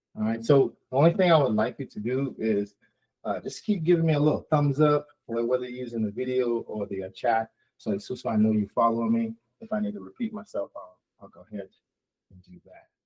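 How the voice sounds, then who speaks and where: A man speaks at a fairly quick pace with a medium pitch, ordinary pitch variation, and big swings in loudness. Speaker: tech consultant and webinar presenter. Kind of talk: webinar presentation. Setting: online webinar. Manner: halting, many repetitions and fillers.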